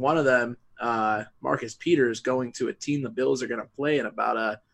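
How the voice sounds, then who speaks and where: A man speaks in an ordinary speaking voice at a fairly quick pace, with an American accent, medium pitch and ordinary pitch variation. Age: 20s. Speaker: podcast host. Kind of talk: casual chat.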